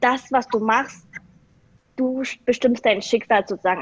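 A woman speaks in an unremarkable speaking voice at a moderate pace with fairly even intonation. The sound is dry and close, with no echo. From eastern Germany (Saxony), Vietnamese-German family. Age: 20s. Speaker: business graduate. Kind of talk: casual interview chat.

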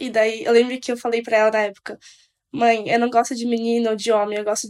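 Monotone, flat intonation at a fairly quick pace. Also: woman. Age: 20s. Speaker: medical student. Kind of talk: casual chat.

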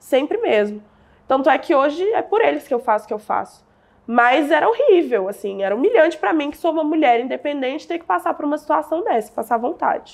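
Fairly quick and high-pitched, a woman talks with pitch that ranges very widely. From Brazil, southern Minas Gerais. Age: 20s. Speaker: digital entrepreneur. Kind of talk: interview storytelling.

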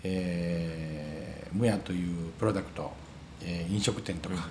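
Speaking in a Wakayama accent, a man with a very deep, low pitch talks at a fairly slow pace, with audible room echo around him. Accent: Kansai (Wakayama) dialect. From Wakayama, Ryujin village. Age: 40s. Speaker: restaurant owner. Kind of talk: interview. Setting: cafe. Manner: halting.

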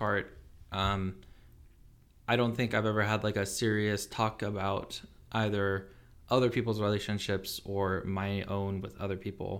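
A man speaks at a fairly low pitch in a monotone, flat way. He leaves long, frequent pauses. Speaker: engineering student. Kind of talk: casual chat.

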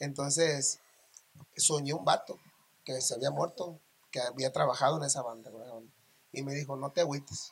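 Somewhat breathy and fairly high-pitched, a man talks at a moderate pace with ordinary pitch variation. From Mazatlán, Sinaloa, Mexico. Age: 40s. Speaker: regional Mexican singer. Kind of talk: casual interview chat.

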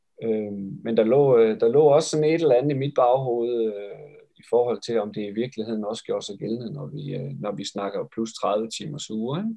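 A man's medium-pitched voice at a moderate pace, with lively intonation and big swings in loudness. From West Jutland, Denmark (Esbjerg). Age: 40s. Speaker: physiotherapist and triathlon coach. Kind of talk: interview about his thesis. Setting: video call. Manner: halting with many fillers.

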